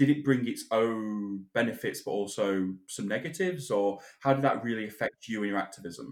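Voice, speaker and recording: A man speaks with a British accent at a fairly quick pace. His pitch is fairly low. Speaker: podcast co-host. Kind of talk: casual chat and interview.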